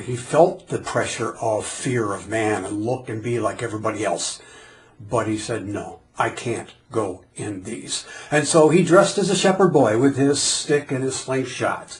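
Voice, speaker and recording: Audible room echo surrounds a man who speaks at medium pitch and a moderate pace with lively intonation. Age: 60s. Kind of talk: sermon; casual chat.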